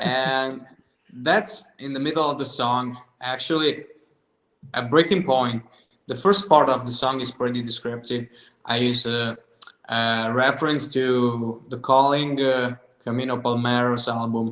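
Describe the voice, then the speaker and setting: With an Italian accent, a man speaks at a fairly slow pace and medium pitch, ordinary pitch variation, and long, frequent pauses. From southern Italy. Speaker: singer-songwriter. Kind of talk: casual interview chat.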